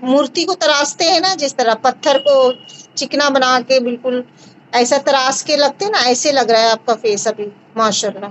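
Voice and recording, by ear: Her voice sits high, and her pitch varies in an ordinary way. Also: moderate pace.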